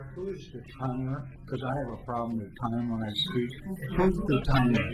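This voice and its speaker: Music plays in the background as a man with an American accent speaks at a medium pitch and moderate pace. His pitch varies in an ordinary way, and the room echo is audible. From Oregon, US Pacific Northwest. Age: 60s. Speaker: public commenter, former legislator. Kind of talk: public comment at city meeting. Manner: loud.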